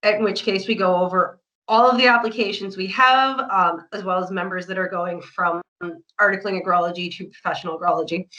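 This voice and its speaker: With lively intonation and a fairly quick pace, a woman talks in an unremarkable speaking voice. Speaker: project coordinator for a professional association. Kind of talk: online information session presentation.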